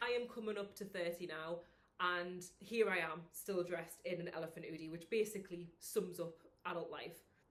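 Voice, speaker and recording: A woman speaks with a northern English accent. Her pace is moderate. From northern England. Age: 20s. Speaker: vlogger and personal trainer. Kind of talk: casual vlog chat.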